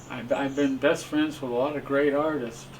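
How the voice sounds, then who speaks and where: A man speaks at a fairly slow pace. He has an American accent. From California. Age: 80s+. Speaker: abstract painter. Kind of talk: interview reminiscence. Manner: halting with repetitions.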